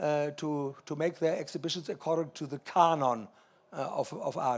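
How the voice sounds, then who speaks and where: A man with a German accent, at a moderate pace, with ordinary pitch variation. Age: 80s+. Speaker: art collector. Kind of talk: panel discussion. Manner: halting.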